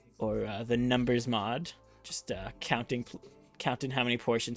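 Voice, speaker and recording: With music in the background, a man speaks at a moderate pace and medium pitch. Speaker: game shoutcaster / commentator. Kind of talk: tournament host intro explaining rules. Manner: casual, conversational.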